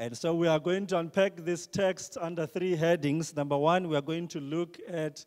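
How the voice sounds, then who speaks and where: Against a quiet background, a man talks at a moderate pace. His pitch is high and his intonation fairly even. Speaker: preacher. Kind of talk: sermon. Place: church. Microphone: handheld.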